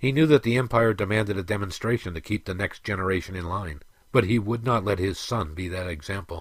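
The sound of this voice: The voice is an unforced reading voice with ordinary pitch variation.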